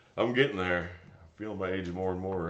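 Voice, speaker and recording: In a room with audible echo, a man speaks at a very deep, low pitch. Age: 30s. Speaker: tree service foreman and streamer. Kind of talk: casual live stream chat reading comments.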